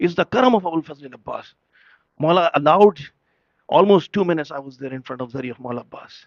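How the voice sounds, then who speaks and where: Spoken at a very fast clip with a Pakistani accent, the voice has lively intonation. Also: man. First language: Urdu. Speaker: religious speaker at a majlis. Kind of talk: sermon. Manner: emotional, impassioned.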